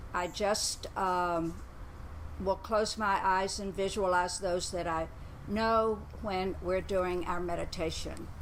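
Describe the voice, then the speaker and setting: A woman speaks at a very slow pace with monotone, flat intonation, and room echo is audible. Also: medium pitch for a woman. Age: 80s+. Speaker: yoga instructor. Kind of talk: exercise class instruction. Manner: calm, slow guided pacing.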